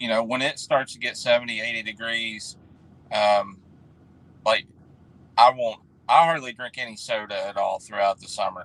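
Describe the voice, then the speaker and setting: A man with a West Virginia accent speaks at a moderate pace and a medium pitch. His loudness swings widely, and he leaves long, frequent pauses. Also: fairly even intonation. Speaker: refrigeration technician. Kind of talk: casual chat. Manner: halting.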